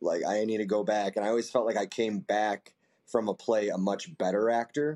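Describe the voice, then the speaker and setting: A man speaks at a moderate pace with fairly low pitch and ordinary pitch variation. His loudness stays very even throughout. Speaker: actor. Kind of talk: casual interview.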